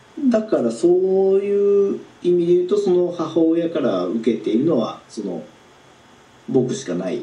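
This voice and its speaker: A man at high pitch with very wide pitch swings, a moderate pace and long, frequent pauses, amid noticeable background noise and audible room echo. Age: 30s. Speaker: self-employed business owner. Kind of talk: coaching session. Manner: hesitant.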